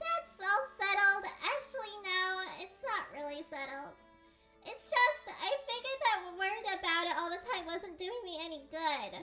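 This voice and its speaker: A put-on character voice, squeaky and whiny, sits at an extremely high pitch. It moves at a moderate pace over faint music in the background. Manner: whiny, worried.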